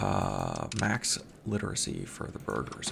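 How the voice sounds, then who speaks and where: With music playing in the background, a man speaks in an American accent. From American, grew up partly overseas. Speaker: video game let's play creator. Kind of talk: casual gameplay commentary. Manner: casual, many fillers and repetitions.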